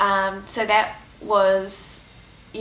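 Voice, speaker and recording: A woman speaks with a New Zealand accent. Noticeable background noise runs behind her. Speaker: Uber driver. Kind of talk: casual Q&A talk to camera.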